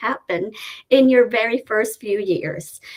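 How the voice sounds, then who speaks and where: A woman's fairly high voice at a fairly slow pace. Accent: strong Filipino. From Philippines, Cebuano-speaking region. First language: Cebuano. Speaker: nurse. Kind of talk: webinar presentation.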